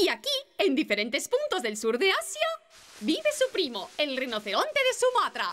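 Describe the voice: In a cartoonish character voice, a woman speaks at a moderate pace with a high pitch, a fairly bright tone and very wide pitch swings.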